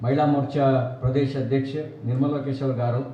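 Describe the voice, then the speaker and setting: A man's fairly high voice with audible room echo. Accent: Kannada. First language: Kannada (speaking Hindi). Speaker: politician. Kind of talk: political speech. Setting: press meet with party workers. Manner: halting, non-fluent Hindi.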